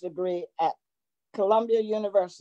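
A woman with a Virginia accent and a dark, mellow tone at a moderate pace, in a dry sound with no echo over a quiet background. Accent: US South, Virginia. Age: 90s. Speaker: retired educator. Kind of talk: interview. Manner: halting, repeating words. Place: home room. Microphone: video call.

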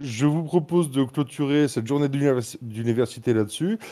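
A man speaks at a fairly slow pace, his tone dark and mellow. His intonation is lively. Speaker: online server moderator. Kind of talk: announcements. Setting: video call.

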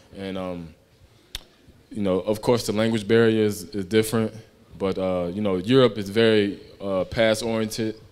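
A man with an American accent, fairly low in pitch, monotone and flat, at a moderate pace with long, frequent pauses. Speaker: basketball player; guest. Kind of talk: live fan Q&A. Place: hall. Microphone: handheld.

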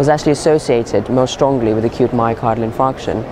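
Over noticeable background noise, a man speaks with fairly even intonation in a dry sound with no echo. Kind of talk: interview answer. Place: hall.

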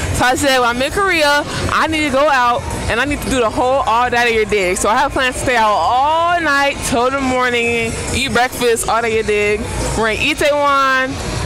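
Over clear background music, a woman speaks at a moderate pace in a raised, projected voice, the sound dry with no echo. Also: ordinary pitch variation. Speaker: travel vlogger. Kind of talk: casual vlog chat. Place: street. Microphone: earbuds.

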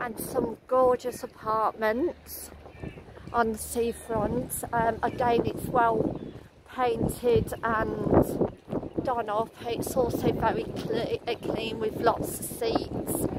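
Over faint background noise, a woman talks slowly at a fairly high pitch with little pitch movement.

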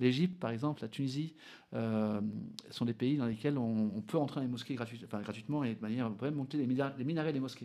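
Against a quiet background, a man speaks at a fairly quick pace with a dark, mellow tone and ordinary pitch variation. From French Basque Country (Bidart); French Basque Country. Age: 40s. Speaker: adventurer and explorer; interview guest. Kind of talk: radio interview. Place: studio. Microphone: studio mic.

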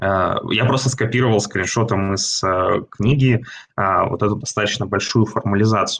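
Over light background noise, a man speaks at a fairly low pitch. His pace is moderate and his intonation fairly even. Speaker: seminar presenter. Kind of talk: lecture. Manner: halting. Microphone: video call.

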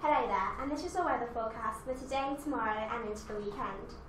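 A woman with a high pitch talks at a fairly quick pace, with audible room echo and light background noise. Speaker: student weather presenter. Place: studio.

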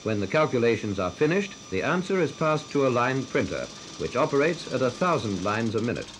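A man at a very fast pace with lively intonation, over noticeable background noise. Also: medium pitch for a man. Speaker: film narrator. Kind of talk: scripted educational film narration. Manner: formal, measured, authoritative.

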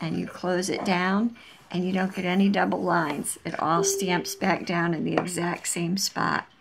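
A woman with fairly even intonation over light background noise. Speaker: crafter demonstrating a tool. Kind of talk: tutorial. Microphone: camera far.

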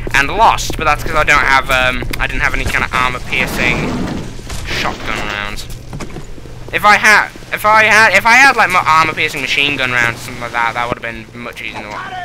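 The speech moves at a fairly quick pace with very wide pitch swings. Noticeable background noise runs underneath. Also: man, fairly high pitch for a man, big swings in loudness. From England. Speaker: let's play gamer. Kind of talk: gameplay commentary. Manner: casual, joking, swears.

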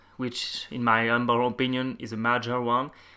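A man speaks with a French accent at a moderate pace and medium pitch. His tone is bright and sharp, and the recording is very clean with a silent background. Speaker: software developer. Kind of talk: technical presentation.

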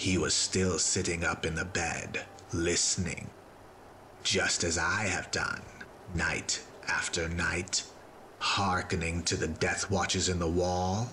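Clear background noise sits under a man with a very deep, low pitch. He speaks at a fairly slow pace with long, frequent pauses. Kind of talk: gothic horror dramatic reading. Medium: read story. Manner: intense, feverish, building to agitation.

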